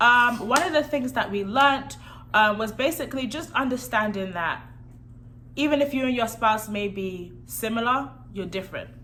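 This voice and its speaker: A woman's bright, sharp, fairly high voice with lively intonation at a moderate pace, in audible room echo. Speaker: married vlogger. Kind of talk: casual chat. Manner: soft-spoken.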